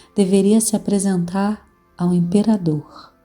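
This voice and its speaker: A woman speaking at a fairly slow pace, with music in the background. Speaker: storyteller. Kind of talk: read folk tale.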